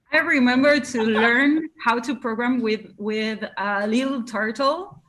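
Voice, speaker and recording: With an Argentine accent, a woman talks at a fairly slow pace in a high pitch. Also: ordinary pitch variation. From Argentina, Buenos Aires. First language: Spanish. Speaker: live coding musician. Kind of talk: interview. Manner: halting.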